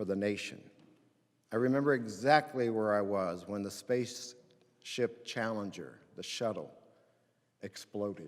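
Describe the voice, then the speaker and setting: Speaking fairly slowly with long, frequent pauses, a man with an American accent uses a medium pitch and ordinary pitch variation. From Indiana, US Midwest. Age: 60s. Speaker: pastor. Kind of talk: chapel talk. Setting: chapel with student audience.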